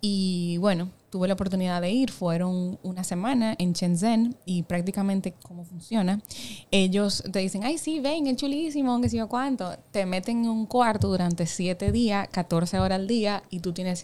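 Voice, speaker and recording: Heard in a very clean recording with a silent background, a woman speaks fairly slowly at medium pitch, with a dark, mellow tone and ordinary pitch variation. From Dominican Republic, Samaná. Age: 20s. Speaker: insurance startup executive. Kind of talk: interview conversation.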